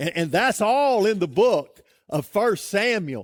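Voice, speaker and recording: Very loud and very slow, a man speaks with very wide pitch swings in a dry, close sound with no echo on a very clean recording with a silent background. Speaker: pastor. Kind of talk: sermon.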